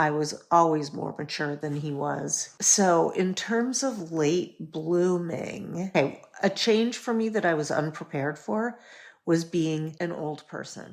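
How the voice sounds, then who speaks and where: Over a silent background on a very clean recording, a woman with an unremarkable speaking voice and fairly low pitch speaks with lively intonation. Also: fairly slow pace. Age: 60s. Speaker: educator and entrepreneur, podcast guest. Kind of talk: casual chat.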